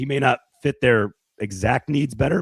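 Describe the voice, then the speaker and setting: Using a put-on character voice, a man speaks at a moderate pace in a raspy tone at a medium pitch. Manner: emotional, pretend tearful.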